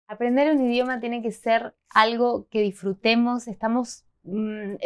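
A woman with an Argentine accent and a fairly high pitch, at a fairly slow pace, against a quiet background. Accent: Argentine Spanish (Rioplatense, voseo). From Argentina. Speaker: Spanish teacher, video host. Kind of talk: tutorial. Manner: animated. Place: home room.

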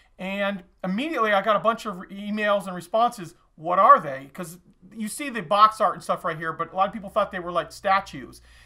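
A man speaks in a raised, projected voice with a bright, sharp tone at a fairly quick pace. His pitch variation is ordinary, and the background is quiet. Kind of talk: casual product showcase vlog. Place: shop. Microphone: camera far.

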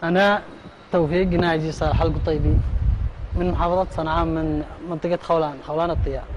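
A man with a Yemeni accent talks at a moderate pace against noticeable background noise. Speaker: man interviewed about detention. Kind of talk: casual street interview, personal account. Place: hall.

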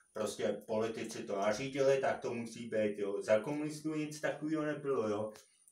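A man speaks at a fairly quick pace with ordinary pitch variation. Audible room echo surrounds his voice. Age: 30s. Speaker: YouTuber; opinion vlogger. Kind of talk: opinion monologue. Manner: halting, many fillers. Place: empty room. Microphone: camera far.

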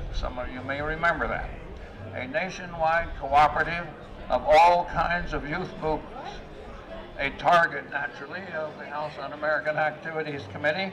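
Noticeable background noise sits behind a voice at a moderate pace with fairly even intonation and big swings in loudness. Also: man, fairly high pitch for a man. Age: 80s+. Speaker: activist. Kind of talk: public speech at a rally. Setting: outdoors. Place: street. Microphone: podium.

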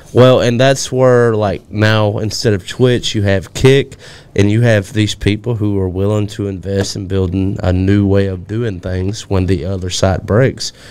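A man with a Southern US accent talks fairly slowly at a fairly low pitch, with fairly even intonation and hardly any pauses. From Alabama. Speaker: podcast co-host. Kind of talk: casual chat. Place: studio. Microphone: studio mic.

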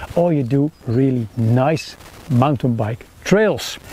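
This man has a dark, mellow tone at medium pitch. His intonation is lively.

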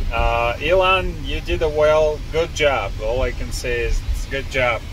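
The speech moves at a fairly slow pace, with a dry sound that has no echo and noticeable background noise behind it. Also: man. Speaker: car test driver vlogger. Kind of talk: casual vlog chat. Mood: pleased, amused. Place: car. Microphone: phone near.

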